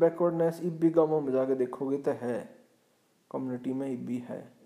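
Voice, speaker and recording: A dark, mellow tone marks this man's speech. He pitches his voice fairly high. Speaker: podcast host. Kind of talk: solo commentary.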